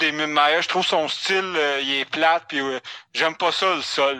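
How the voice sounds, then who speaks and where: Speaking at a very slow pace, a man uses a bright, sharp tone with fairly high pitch and fairly even intonation. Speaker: sports podcast co-host. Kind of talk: casual chat.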